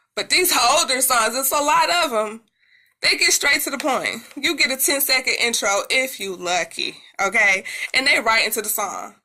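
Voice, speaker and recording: A woman's raised, projected voice, high-pitched and bright and sharp, with an animated tone, lively intonation and a moderate pace. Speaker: music commentator YouTuber. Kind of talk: casual commentary.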